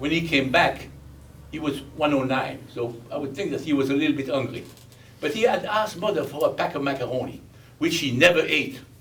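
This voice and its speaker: Spoken with a Belgian accent and ordinary pitch variation, the clip carries noticeable background noise and audible room echo. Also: man. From Belgium. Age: 80s+. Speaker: war survivor. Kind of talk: testimony.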